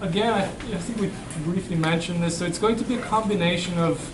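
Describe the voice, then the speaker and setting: A man with a non-native accent talks at a fairly quick pace and high pitch with fairly even intonation. Noticeable background noise and audible room echo fill the recording. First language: not English. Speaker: university professor. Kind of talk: classroom Q&A. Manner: halting, with frequent repeats and fillers.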